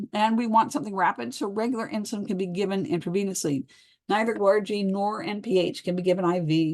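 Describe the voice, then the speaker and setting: An unremarkable speaking voice delivers its words with lively intonation. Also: woman. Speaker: pharmacology lecturer. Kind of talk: lecture. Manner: casual conversational.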